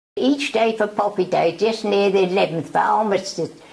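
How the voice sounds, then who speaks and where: Noticeable background noise sits under the speech. The pace is fairly slow, with ordinary pitch variation. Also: woman. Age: 80s+. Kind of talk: interview answer.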